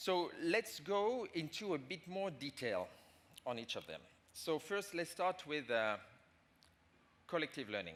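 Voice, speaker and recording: A man with a French accent, high in pitch with very wide pitch swings, fairly slow with long, frequent pauses. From France. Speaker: management consultant. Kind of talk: conference talk. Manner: halting.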